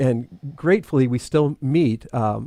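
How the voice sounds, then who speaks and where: Speaking at a fairly slow pace and medium pitch, a man with a Midwestern American accent is heard in a dry, close sound with no echo. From US Midwest (Toledo, Ohio). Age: 60s. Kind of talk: casual interview chat.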